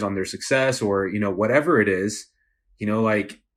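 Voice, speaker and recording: A man speaks with an unremarkable speaking voice, fairly low in pitch, at a moderate pace. His intonation is fairly even, and the recording is very clean with a silent background. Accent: American. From Texas, El Paso. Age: 20s. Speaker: entrepreneur. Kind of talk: casual chat.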